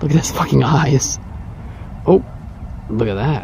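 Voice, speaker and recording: A man speaks at a fairly slow pace with very wide pitch swings. There is noticeable background noise. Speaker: vlogger. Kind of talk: casual vlog. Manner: excited.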